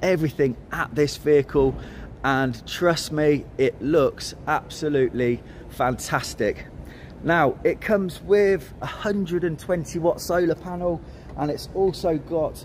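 Male speech at a fairly slow pace, ordinary pitch variation, light background noise. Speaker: presenter. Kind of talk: walk-around product tour. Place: hall. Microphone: phone near.

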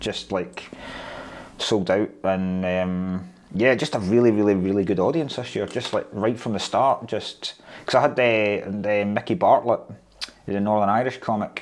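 In a Scottish accent, a man speaks with a fairly low pitch. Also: ordinary pitch variation, moderate pace. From Scotland. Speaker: stand-up comedian. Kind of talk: interview answer. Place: office.

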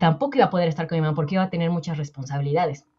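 A somewhat breathy woman's voice with ordinary pitch variation sounds over a quiet background. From Mexico. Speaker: personal finance coach. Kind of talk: interview conversation. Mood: warm, reflective, personal. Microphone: earbuds.

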